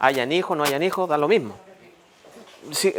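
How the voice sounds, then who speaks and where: A man speaks with ordinary pitch variation. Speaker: lawyer giving a civics talk. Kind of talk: public talk to neighbours.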